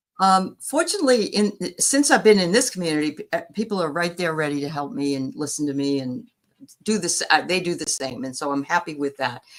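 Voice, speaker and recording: A woman with an American accent speaks at a fairly quick pace. Her fairly low pitch makes very wide swings. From New England, north of Boston. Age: 60s. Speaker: spiritual reader and medium. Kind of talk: interview.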